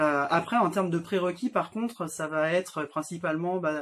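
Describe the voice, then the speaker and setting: This man's pitch varies in an ordinary way as he talks at a moderate pace. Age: 30s. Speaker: nurse anesthetist. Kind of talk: interview. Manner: hesitant, many fillers.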